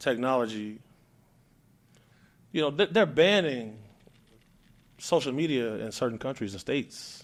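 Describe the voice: A man speaks at a medium pitch and a fairly slow pace. Long, frequent pauses break up his speech.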